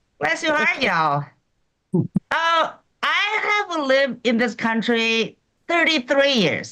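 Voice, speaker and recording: Projecting a raised voice at very even loudness, a woman with a high pitch speaks very slowly, taking long, frequent pauses and making very wide pitch swings. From China. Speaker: stand-up comedian. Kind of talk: stand-up.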